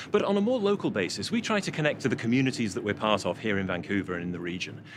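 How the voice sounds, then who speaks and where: A man with a British accent talks at a very fast pace at medium pitch, with very wide pitch swings. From UK. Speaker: port authority executive. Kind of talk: interview.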